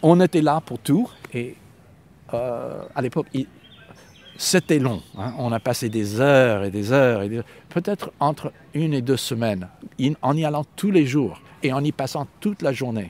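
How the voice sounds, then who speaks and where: Dry and close with no echo, an American-accented man speaks at a fairly slow pace with lively intonation and long, frequent pauses. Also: medium pitch for a man. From US, Los Angeles. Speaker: poet and translator. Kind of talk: interview conversation. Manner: halting at times, stumbles on words.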